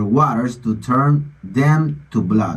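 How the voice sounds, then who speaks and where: A man speaks with a non-native accent and a somewhat breathy voice. His pitch swings very widely. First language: Spanish. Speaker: online commentator on religion and politics. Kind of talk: bible reading with commentary.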